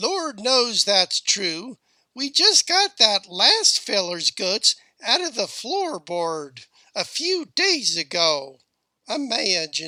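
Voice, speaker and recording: Putting on a character voice, a man speaks at an extremely high pitch with very wide pitch swings and a very slow pace, the sound dry and close with no echo. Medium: read story. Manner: blunt, folksy.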